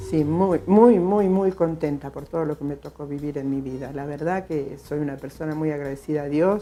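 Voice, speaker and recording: Against a quiet background, a woman with a very deep, low pitch and a dark, mellow tone speaks with hardly any pauses and ordinary pitch variation. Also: moderate pace. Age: 60s. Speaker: retired school cook. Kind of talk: interview testimony. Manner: halting, repetitive.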